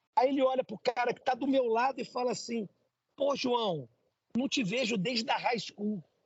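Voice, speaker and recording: This man with a Brazilian accent has an extremely high pitch. His tone is animated and his pace is moderate. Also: ordinary pitch variation. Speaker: entrepreneur, immigrant. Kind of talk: interview. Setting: coffee shop.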